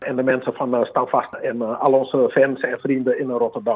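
This is a man talking. His pace is fairly quick. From Suriname, Paramaribo, moved to Amsterdam at 12. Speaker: bassist and bandleader. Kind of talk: interview. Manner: hesitant with many fillers.

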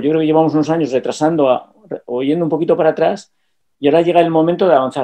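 A man rattles along at a very fast pace. His intonation stays fairly even over a quiet background. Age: 60s. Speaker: businessman. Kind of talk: casual chat. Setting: video call. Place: home room. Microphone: webcam.

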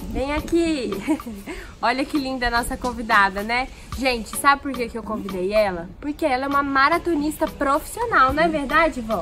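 Over clear music in the background, a woman with a high pitch uses a raised, projected voice, lively intonation and an upbeat, playful tone at a moderate pace. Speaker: presenter. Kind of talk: casual talk to camera. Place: garden.

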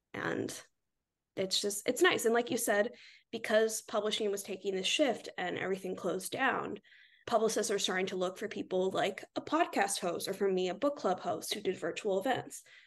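A woman with an ordinary speaking voice talks in an American accent at medium pitch. Her pace is moderate, her pitch varies an ordinary amount, and the background is quiet. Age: 20s. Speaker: book influencer. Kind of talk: casual chat.

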